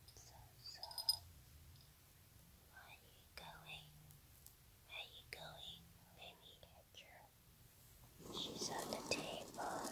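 The speaker whispers very slowly, with long, frequent pauses between words. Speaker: ASMR creator. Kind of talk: talking to a pet cat. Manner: whispered; soft-spoken. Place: home room. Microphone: phone near.

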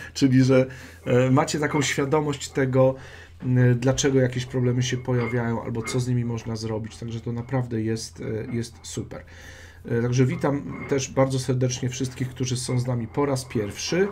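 Against light background noise, a man speaks at a moderate pace with fairly even intonation. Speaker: dog trainer hosting a live stream. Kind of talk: casual live-stream chat. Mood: warm, friendly. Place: home room. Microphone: webcam.

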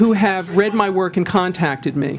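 With an American accent, a woman speaks at a moderate pace and ordinary pitch variation over noticeable background noise. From New York. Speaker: lawyer. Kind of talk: testimony. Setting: public hearing.

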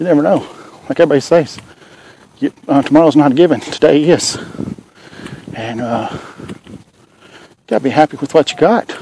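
With a Southern US accent, the speaker keeps a moderate pace broken by long, frequent pauses. The sound is dry with no echo, over light background noise. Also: man, fairly high pitch for a man, ordinary pitch variation. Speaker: vlogger. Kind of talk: casual chat. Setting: outdoors. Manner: halting; soft-spoken. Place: street. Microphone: earbuds.

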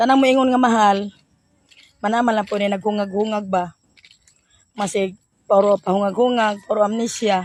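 At a moderate pace, a woman with a medium pitch keeps her intonation fairly even, with long, frequent pauses. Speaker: vegetable vendor vlogger. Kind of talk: casual vlog monologue.

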